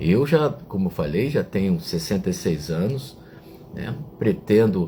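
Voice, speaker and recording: At a fairly slow pace, a man with a fairly low pitch speaks in very wide pitch swings. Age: 60s. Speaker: online reflection show host. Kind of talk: reflective talk to live chat viewers. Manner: hesitant, with fillers.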